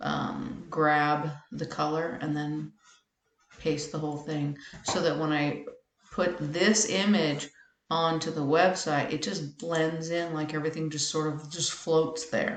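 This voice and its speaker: A woman speaks very slowly in a very deep, low pitch, her intonation fairly even. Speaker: web tutorial maker. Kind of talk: tutorial.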